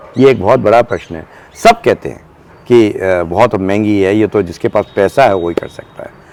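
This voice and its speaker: Amid noticeable background noise, a man speaks with lively intonation at a fairly low pitch. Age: 70s. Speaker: retired army officer and gardener. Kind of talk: garden tour talk. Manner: halting, many fillers.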